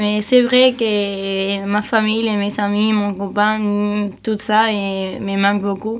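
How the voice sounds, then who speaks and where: A woman with a Spanish accent at a very slow pace, monotone and flat, with hardly any pauses. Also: medium pitch for a woman. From Spain, Cáceres (Extremadura). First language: Spanish (speaking French). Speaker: European volunteer. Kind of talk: radio interview. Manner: halting.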